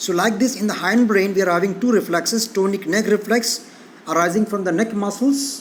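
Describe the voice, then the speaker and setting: A man's high-pitched voice with audible room echo and noticeable background noise. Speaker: physiology lecturer. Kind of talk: lecture. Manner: fast.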